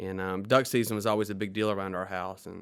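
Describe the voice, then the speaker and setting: This is a very clean recording with a silent background. A man speaks in a Mississippi accent. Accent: Southern US (Mississippi). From US South, Mississippi Delta. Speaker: attorney. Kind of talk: podcast interview.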